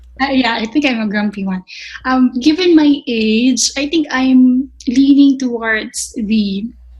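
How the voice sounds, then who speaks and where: Amid noticeable background noise, a woman with a high pitch speaks at a fairly slow pace with ordinary pitch variation. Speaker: chef instructor. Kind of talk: podcast interview. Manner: halting.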